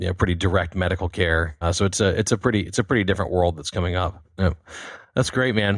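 A man with an American accent talks at a very fast pace in a very deep, low voice. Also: very clean recording, silent background. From United States. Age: 40s. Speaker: podcast host. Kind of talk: interview. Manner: animated.

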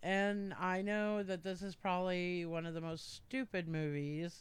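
The intonation stays fairly even. Delivery runs at a fairly slow pace. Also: woman. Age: 40s. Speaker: podcast guest, family friend. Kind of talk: casual chat.

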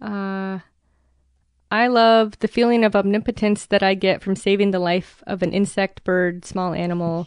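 A woman's normal speaking voice at a medium pitch, with an American accent, fairly even intonation and a moderate pace. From US Midwest, rural Minnesota. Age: 30s. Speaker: postal worker. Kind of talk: interview.

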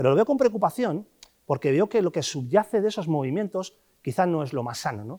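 A man talks at a fairly quick pace in a fairly high pitch, his pitch swinging very widely. The tone is dark and mellow, and the sound is dry and close with no echo. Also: very clean recording, silent background. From Basque Country/Cantabria coast, Castro Urdiales. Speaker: fund manager. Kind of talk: interview.

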